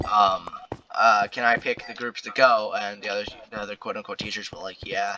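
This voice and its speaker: A man with a fairly low pitch speaks at a fairly quick pace in a monotone, flat delivery, his loudness swinging widely over noticeable background noise. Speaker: storytime commentary youtuber. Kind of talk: casual storytelling monologue. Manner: filler-heavy, hesitant.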